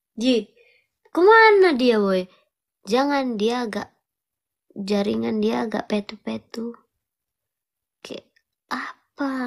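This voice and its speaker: Very slow in pace, a woman's speech is broken by long, frequent pauses. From East Java, Malang. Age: 20s. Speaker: live-streamer. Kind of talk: casual live-stream chat. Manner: animated.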